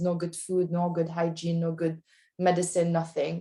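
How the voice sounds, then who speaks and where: A non-native accent at a moderate pace on a very clean recording with a silent background. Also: woman. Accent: foreign. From outside the US. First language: not English. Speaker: lawyer. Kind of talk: panel discussion. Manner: halting.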